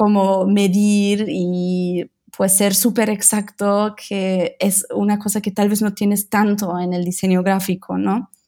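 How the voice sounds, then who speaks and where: Very slowly, a woman speaks at a medium pitch in a dark, mellow tone with monotone, flat intonation. The recording is very clean, the background silent. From Germany, Berlin. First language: German and Italian (speaking Spanish). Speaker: visual designer, design studio co-founder. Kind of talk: interview conversation.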